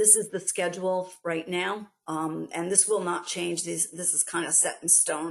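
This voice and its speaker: In a New York accent, a woman speaks fairly slowly and flatly in a fairly low voice, with hardly any pauses, over a quiet background. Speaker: export grant program staff presenter. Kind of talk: webinar presentation. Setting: online webinar. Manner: hesitant, many fillers.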